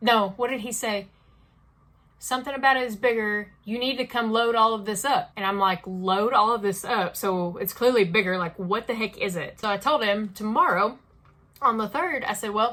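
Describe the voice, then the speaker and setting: This woman's voice is fairly high-pitched with a bright, sharp tone. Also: ordinary pitch variation. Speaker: crochet vlogger. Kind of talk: casual vlog chat. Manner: fast; animated.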